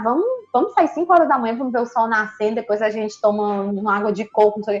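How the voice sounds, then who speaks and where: A woman speaks at a very fast pace. Her fairly high voice has lively intonation. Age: 30s. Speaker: psychologist. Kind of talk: casual chat.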